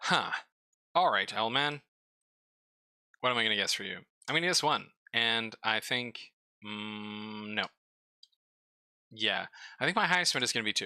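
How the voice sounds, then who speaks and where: A man mumbles at a medium pitch and moderate pace in a bright, sharp tone, with ordinary pitch variation and long, frequent pauses, on a very clean recording with a silent background. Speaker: streamer reviewing game store pages. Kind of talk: casual live stream commentary. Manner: mumbling.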